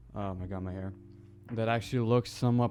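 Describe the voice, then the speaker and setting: Music plays behind the man as his fairly low voice moves with ordinary pitch variation. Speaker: small YouTuber. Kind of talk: casual opinion talk to camera. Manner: stuttering, hesitant.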